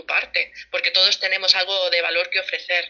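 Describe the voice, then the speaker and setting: A woman speaks at a moderate pace. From Barcelona, Spain. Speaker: family financial planner. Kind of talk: casual interview. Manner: halting, many repetitions.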